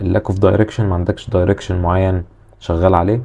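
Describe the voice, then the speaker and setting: Talking at a very fast pace, a man with a Cairo accent is heard over noticeable background noise. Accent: Egyptian Arabic (Cairene). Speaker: self-improvement YouTuber. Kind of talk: casual advice monologue. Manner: aggressive tone.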